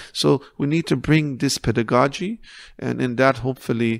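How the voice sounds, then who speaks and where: A man with a non-native accent at a moderate pace, dry and close with no echo, on a very clean recording with a silent background. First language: not English. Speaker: counsellor. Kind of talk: podcast interview. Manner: halting.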